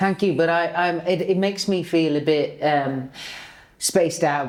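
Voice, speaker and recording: In a plain, everyday voice, a woman speaks at a fairly slow pace. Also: fairly low pitch for a woman, very even loudness. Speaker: stage performer. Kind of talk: podcast chat.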